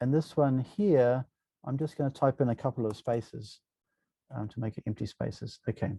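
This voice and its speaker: Somewhat breathy and dark, mellow in tone, a man speaks at a medium pitch, with a dry, close sound and no echo. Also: ordinary pitch variation, moderate pace. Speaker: university lecturer. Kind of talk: software tutorial lecture. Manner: casual, hesitant with many fillers.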